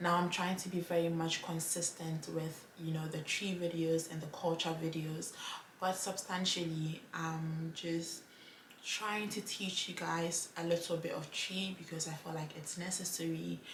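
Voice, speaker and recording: Amid noticeable background noise and audible room echo, a woman with a Ghanaian accent speaks at a fairly slow pace, her fairly low pitch held in a monotone, flat intonation. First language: Twi. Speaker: language vlogger. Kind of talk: casual vlog talk to camera.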